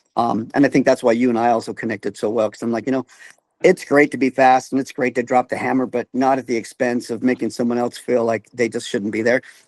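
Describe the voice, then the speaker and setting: A man with a plain, everyday voice, medium pitch and a fairly quick pace, in dry, close sound with no echo. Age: 50s. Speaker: amateur cyclist. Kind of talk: casual chat.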